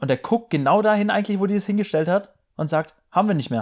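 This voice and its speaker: A man is talking. His pace is very fast. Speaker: podcast co-host. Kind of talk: casual chat. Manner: loud.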